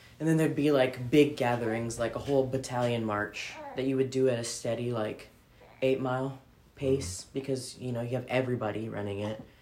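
There is noticeable background noise. The speech moves at a fairly quick pace. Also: woman, very deep, low pitch for a woman, fairly even intonation. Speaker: military veteran, podcaster and parent. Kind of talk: casual chat. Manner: casual, profane, laughing often.

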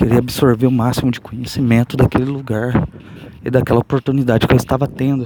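A man speaks softly at a medium pitch. Noticeable background noise sits behind him. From São Paulo state, Brazil. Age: 30s. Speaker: podcaster. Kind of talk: casual monologue. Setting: outdoors on the street. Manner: soft-spoken.

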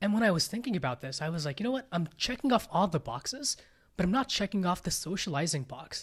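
This man talks very fast in a high voice, his pitch swinging very widely. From India, then California from age 11. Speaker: startup founder. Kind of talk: casual interview.

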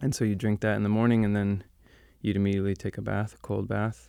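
A man's normal speaking voice with an American accent, fairly low in pitch, with fairly even intonation, on a very clean recording with a silent background. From New York City. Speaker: plant medicine practitioner. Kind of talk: casual interview.

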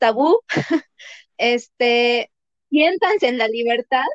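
At a very slow pace, a woman speaks in a high voice, recorded with a dry, close sound and no echo. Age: 30s. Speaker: veterinarian. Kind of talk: casual chat.

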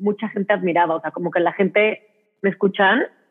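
A woman speaks with ordinary pitch variation. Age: 30s. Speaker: Instagram content creator. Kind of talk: casual chat. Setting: video call.

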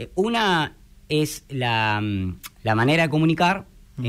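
On a very clean recording with a silent background, a man with a Rioplatense accent talks at a fairly slow pace in a fairly high pitch, his pitch swinging very widely. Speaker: radio broadcaster. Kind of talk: interview.

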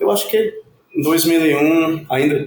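The voice carries a Spanish accent and ordinary pitch variation. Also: man. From Puerto Rico. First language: Spanish (speaking Portuguese). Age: 40s. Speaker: academic researcher. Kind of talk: interview.

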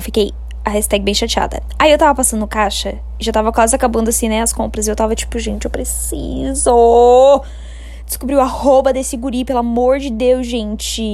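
A woman talks at a fairly quick pace in an animated tone, with audible room echo and noticeable background noise. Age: 20s. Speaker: podcaster. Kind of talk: casual storytelling.

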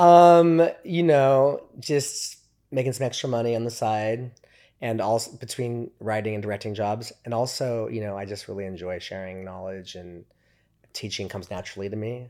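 With a plain, everyday voice, a man at medium pitch speaks at a moderate pace with lively intonation and big swings in loudness, in a very clean recording with a silent background. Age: 50s. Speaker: film director and teacher. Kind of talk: casual interview chat.

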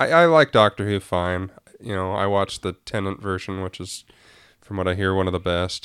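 Very deep, low male voice at a fairly quick pace, fairly even intonation, dry and close with no echo. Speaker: podcast co-host. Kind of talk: casual chat.

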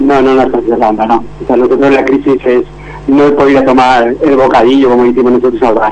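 A man's medium-pitched voice at a very fast pace, monotone and flat in intonation, very even in loudness, over noticeable background noise. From Spain, Valencia region (Denia). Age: 50s. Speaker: churro shop owner. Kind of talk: radio interview.

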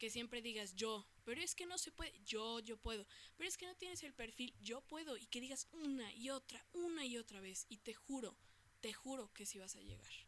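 A woman's high-pitched voice with a Mexican accent, animated in tone, with lively intonation at a moderate pace. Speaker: podcast host. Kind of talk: casual monologue.

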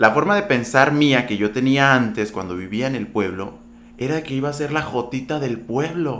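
A man with lively intonation and audible room echo. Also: medium pitch for a man, moderate pace. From Sonora, Mexico (ejido near Empalme). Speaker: TV and radio presenter. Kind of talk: casual interview.

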